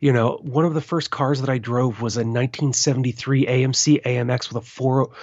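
A man with an American accent speaks in a normal speaking voice at medium pitch, keeping a fairly even intonation at a fairly quick pace. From US, western Maryland. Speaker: permaculture podcast host. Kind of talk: interview.

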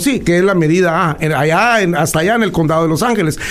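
With noticeable background noise and audible room echo around him, a man talks, his pitch varying in an ordinary way. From Guatemala. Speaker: political commentator. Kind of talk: interview.

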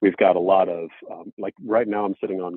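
Very deep, low male speech at a fairly quick pace. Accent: American. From Washington DC area, US. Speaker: brewery founder. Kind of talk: casual interview.

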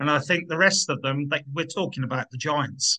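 A man speaks in a fairly high pitch with a bright, sharp tone. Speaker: football podcast host. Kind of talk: casual chat.

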